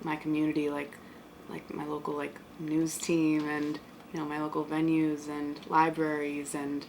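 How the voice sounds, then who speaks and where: Speaking with an American accent, a woman has a very deep, low pitch. Noticeable background noise can be heard. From Bronx, New York. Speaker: artist. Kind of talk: interview answer.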